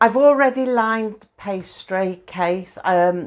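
A woman's very slow speech with ordinary pitch variation. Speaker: home cook vlogger. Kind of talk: casual cooking tutorial. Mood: cheerful, laughing often. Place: kitchen. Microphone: lapel.

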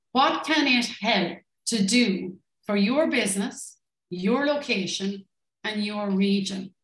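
A very slow woman's voice in a Limerick accent, with ordinary pitch variation and audible room echo. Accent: Irish (Limerick). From Ireland, Limerick; Ireland. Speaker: tourism business consultant; presenter. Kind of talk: online workshop presentation. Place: home room.

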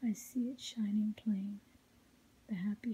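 The voice is whispering and soft-spoken. It moves at a fairly slow pace. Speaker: ASMR reader. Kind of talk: whispered ASMR poetry reading. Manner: quiet, melodic, soft; whispered. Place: home room.

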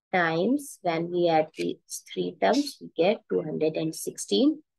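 Against a quiet background, a woman speaks. Her pace is very slow. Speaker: math teacher. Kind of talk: tutorial. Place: home room. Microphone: headset.

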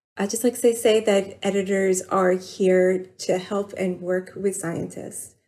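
A woman with an American accent talks at a moderate pace in a medium pitch, her intonation flat and monotone. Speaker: journal editor. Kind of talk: interview.

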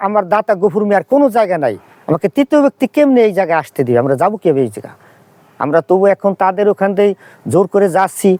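A man with a high pitch and a dark, mellow tone is heard in a dry, close sound with no echo. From Bangladesh, Faridpur. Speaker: primary school head teacher. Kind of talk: complaint statement to press. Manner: halting.

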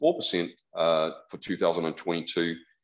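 Against a quiet background, a man talks at a moderate pace. He has a New Zealand accent. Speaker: economist; presenter. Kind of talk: presentation. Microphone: video call.

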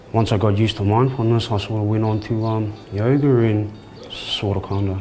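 Over music in the background, a man speaks at a moderate pace in a fairly low, flat, monotone voice. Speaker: prison inmate. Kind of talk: interview answer. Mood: calm, reflective. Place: hall. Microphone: lapel.

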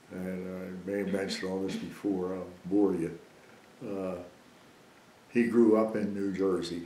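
A man with a very deep, low pitch and a dark, mellow tone speaks at a fairly slow pace in a monotone, flat intonation, amid audible room echo and light background noise. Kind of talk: interview answer. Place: home room.

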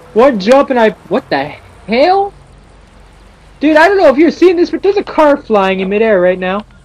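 Over noticeable background noise, a man speaks at an extremely high pitch with very wide pitch swings, keeping a moderate pace broken by long, frequent pauses. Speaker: gaming video creator. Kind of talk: gameplay commentary. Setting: home recording setup. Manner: animated; halting.

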